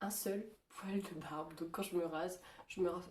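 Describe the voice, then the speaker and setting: With fairly even intonation, a woman talks at a medium pitch in a somewhat breathy voice. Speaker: vlogger. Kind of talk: casual vlog. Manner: hesitant, many fillers.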